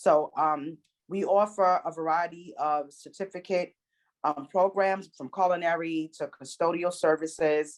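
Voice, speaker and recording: A normal speaking voice from a woman, fairly low in pitch, fairly slow in pace, with ordinary pitch variation. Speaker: enrollment specialist presenting a training program. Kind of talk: presentation at an online meeting.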